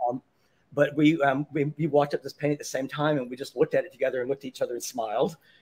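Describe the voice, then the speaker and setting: The man talks at a very fast pace. His intonation stays fairly even. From Mississippi. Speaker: artist and exhibition designer. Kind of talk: casual interview. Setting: live show at a restaurant. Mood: warm, smiling reminiscence. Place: home room.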